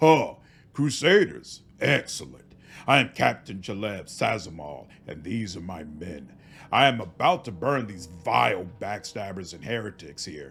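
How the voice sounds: Doing a put-on character voice, a man booms at a fairly low pitch with lively intonation.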